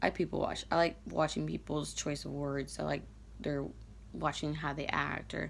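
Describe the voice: Raspy and low-pitched with vocal fry, a woman talks at a moderate pace with little pitch movement.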